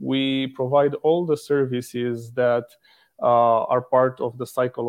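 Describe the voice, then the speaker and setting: An ordinary speaking voice from a man with a medium pitch, at a fairly slow pace. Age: 30s. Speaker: company regional director. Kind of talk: casual interview.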